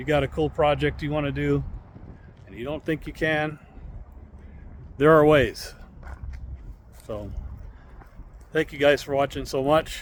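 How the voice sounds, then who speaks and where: Pausing long and often, a man speaks at a fairly slow pace with big swings in loudness. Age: 60s. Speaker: DIY mechanic vlogger. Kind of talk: casual workshop tutorial. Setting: outdoors in yard. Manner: casual, conversational.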